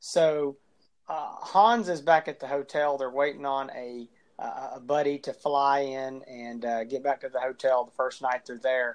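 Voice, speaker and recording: A man with a plain, everyday voice speaks at a fairly slow pace and a fairly high pitch. His pitch variation is ordinary, and his loudness swings widely. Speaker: podcast co-host. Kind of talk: casual chat.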